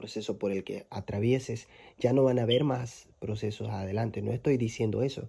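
The man's voice is medium in pitch and somewhat breathy, with a dark, mellow tone. He keeps fairly even intonation at a moderate pace. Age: 20s. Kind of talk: devotional monologue.

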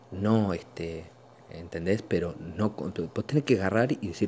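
A man's very deep, low-pitched voice in a Rioplatense accent. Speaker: podcast host. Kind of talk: casual monologue. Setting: at home, living room. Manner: halting, many fillers.

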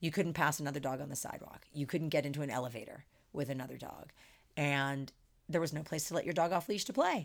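A woman speaks very fast in a very deep, low voice with ordinary pitch variation. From US Northeast, Philadelphia suburbs. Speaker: dog daycare business owner. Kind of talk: interview conversation. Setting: at her dog club, dogs present.

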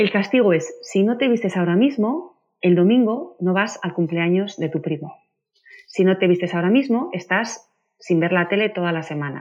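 A woman talks at medium pitch and a moderate pace. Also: ordinary pitch variation. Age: 40s. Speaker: parenting author. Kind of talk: interview. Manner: animated.

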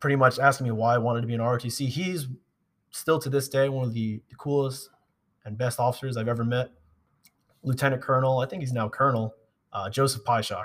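Breathing somewhat breathily, a man with an American accent talks at medium pitch and a fairly quick pace, with fairly even intonation and long, frequent pauses. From Long Island, New York. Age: 20s. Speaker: army officer. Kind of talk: casual chat. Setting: gym.

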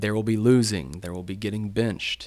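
A man with a Tennessee accent speaks in a fairly low pitch. His pitch varies in an ordinary way. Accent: Southern US (Tennessee). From East Tennessee, Chattanooga area. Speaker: school athletic director. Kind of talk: casual chat.

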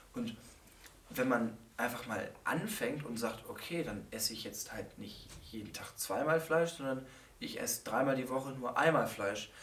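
A man talks at a fairly slow pace with medium pitch and lively intonation. Noticeable background noise and audible room echo are present. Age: 20s. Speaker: psychology student. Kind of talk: casual chat.

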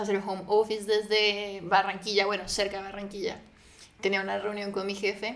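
In a room with audible echo, a woman speaks at a moderate pace and medium pitch with monotone, flat intonation. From Colombia, Neiva (Huila). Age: 20s. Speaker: podcast guest. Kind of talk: casual chat.

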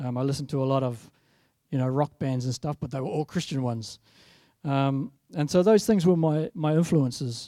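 With a New Zealand accent, a man speaks at a fairly quick pace in a dark, mellow tone, with a dry, close sound and no echo. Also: fairly high pitch for a man, ordinary pitch variation. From New Zealand, South Island. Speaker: guest preacher. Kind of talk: sermon. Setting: church.

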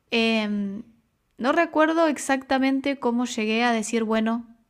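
Recorded very cleanly against a silent background, a woman speaks at a fairly slow pace. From Argentina, Buenos Aires. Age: 20s. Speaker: makeup artist. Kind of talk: casual chat. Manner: talkative.

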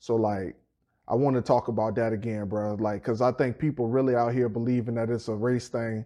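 Against a quiet background, a dark, mellow voice talks at a fairly quick pace with monotone, flat intonation. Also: man, medium pitch for a man. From Petersburg, Virginia (US South). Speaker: podcast co-host. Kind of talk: casual chat.

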